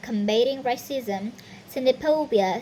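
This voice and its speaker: Over noticeable background noise, a woman talks at a fairly slow pace and a high pitch, with lively intonation. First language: not English. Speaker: university student. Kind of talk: reading aloud. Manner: halting, with self-corrections.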